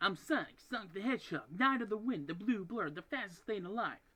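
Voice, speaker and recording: This man uses a put-on character voice with a high pitch. He talks at a fairly quick pace. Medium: tutorial demo. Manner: upbeat, happy-go-lucky.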